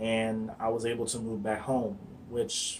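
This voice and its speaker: This is a man's voice. He has an American accent. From US Midwest, Akron, Ohio. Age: 20s. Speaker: vlogger, electrical engineer. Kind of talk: casual vlog monologue. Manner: halting, many fillers and restarts.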